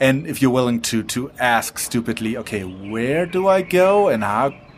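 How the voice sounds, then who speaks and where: At a moderate pace, a man speaks at a medium pitch with very wide pitch swings. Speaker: podcast co-host. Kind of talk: casual chat. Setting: restaurant.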